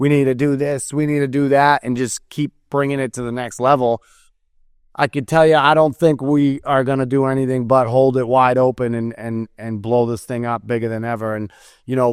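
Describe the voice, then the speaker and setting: Speaking at a moderate pace with a medium pitch, a man with an American accent keeps his intonation fairly even against a quiet background. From New England (Massachusetts). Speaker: construction event organizer, podcast co-host. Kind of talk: casual chat.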